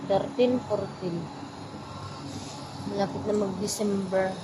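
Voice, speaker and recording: Amid noticeable background noise and audible room echo, a woman of medium pitch talks in a monotone, flat intonation. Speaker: domestic helper and vlogger. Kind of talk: casual vlog monologue. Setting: outdoors at night, waiting outside.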